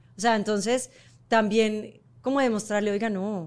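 A plain, everyday voice, moderately paced, captured in a very clean recording against a silent background. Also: woman. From Colombia. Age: 40s. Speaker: model and entrepreneur. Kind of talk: casual chat.

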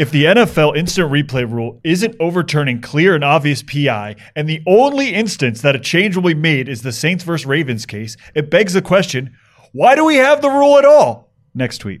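A man with a plain, everyday voice at a fairly high pitch and moderate pace, in a very clean recording with a silent background. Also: lively intonation. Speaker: podcast producer. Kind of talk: casual chat.

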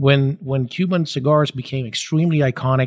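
The voice is somewhat breathy with fairly even intonation, captured in a very clean recording with a silent background and a dry, close sound with no echo. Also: man. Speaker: cigar company executive. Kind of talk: interview.

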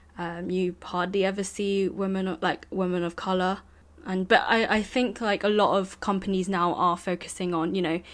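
A woman with a British accent speaks in a flat monotone, recorded very cleanly against a silent background. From United Kingdom. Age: 20s. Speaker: graduate student. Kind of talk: casual chat.

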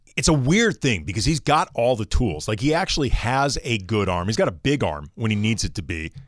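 With hardly any pauses and vocal fry, a man speaks at a fairly quick pace and medium pitch with very wide pitch swings, on a very clean recording with a silent background. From US Midwest, St. Louis. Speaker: sports radio co-host. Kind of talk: sports talk radio chat.

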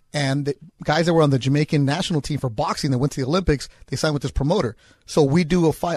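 Talking at a very fast pace, a man uses a fairly high pitch and fairly even intonation, sounding somewhat breathy. The sound is dry and close with no echo. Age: 40s. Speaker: fill-in sports radio host. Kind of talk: casual sports radio chat. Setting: radio studio.

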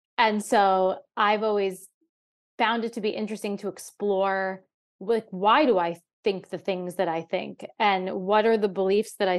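Against a quiet background, a woman with an ordinary speaking voice talks at a fairly slow pace with fairly even intonation. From New York. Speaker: comedian. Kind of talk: casual chat.

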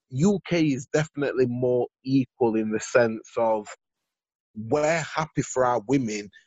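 A man with a Yorkshire accent speaks at a fairly slow pace, his medium pitch rising and falling in an ordinary way. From Sheffield, northern England. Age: 30s. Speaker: podcaster. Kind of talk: casual chat.

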